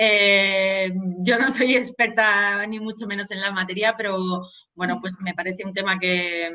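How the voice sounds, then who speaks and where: A woman's medium-pitched voice with a bright, sharp tone, a fairly slow pace and fairly even intonation. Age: 30s. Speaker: local resident. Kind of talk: debate.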